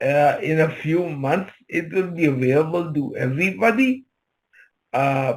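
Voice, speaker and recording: The man's voice is somewhat breathy. He keeps to a fairly slow pace. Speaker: presenter. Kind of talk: Q&A session. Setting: video call.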